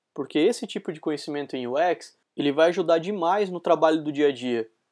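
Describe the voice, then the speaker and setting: A man with a high-pitched voice talks at a fairly quick pace, using ordinary pitch variation. The recording is very clean, with a silent background. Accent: rural São Paulo. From Brazil, interior of São Paulo state. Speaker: UX designer and lecturer. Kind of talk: recorded conference talk. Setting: recorded talk streamed live to an event.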